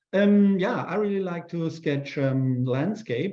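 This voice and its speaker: Speaking at a fairly slow pace, a man talks in a German accent with ordinary pitch variation. Audible room echo surrounds his voice. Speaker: urban sketch artist. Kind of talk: live demo Q&A. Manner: halting.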